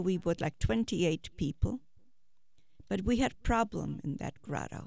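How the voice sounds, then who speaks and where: Vocal fry runs through a woman's medium-pitched voice at a fairly slow pace. The recording is very clean, with a silent background. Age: 70s. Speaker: Holocaust survivor. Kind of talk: elder life story, testimony of hiding underground as a child. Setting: studio.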